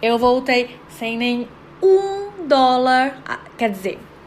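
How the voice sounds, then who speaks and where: A woman speaks at a fairly high pitch. Noticeable background noise runs beneath her. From Brazil, Guarujá (São Paulo coast). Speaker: podcast host, psychologist. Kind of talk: personal storytelling monologue.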